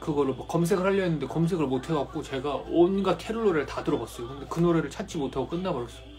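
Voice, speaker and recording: With music in the background, a man speaks at a very fast pace with hardly any pauses and ordinary pitch variation. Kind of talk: casual live-stream chat. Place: home room. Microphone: phone near.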